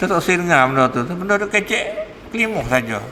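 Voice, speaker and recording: Over noticeable background noise, a man talks with lively intonation at a high pitch. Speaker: religious teacher. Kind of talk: religious lecture. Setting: mosque. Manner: casual, conversational.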